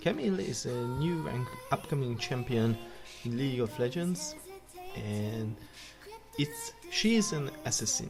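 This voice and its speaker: A woman's very deep, low voice with a non-native accent and lively intonation, fairly slow with long, frequent pauses, over music in the background. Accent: non-native English speaker. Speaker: gaming video creator. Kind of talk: game commentary talk.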